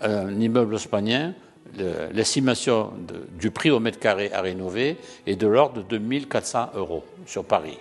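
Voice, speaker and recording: Music plays in the background as a man speaks at a fairly slow pace. His voice is fairly low in pitch, with lively intonation. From southern France, Languedoc. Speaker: real estate association president. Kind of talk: interview answer. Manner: halting, frequent repetitions.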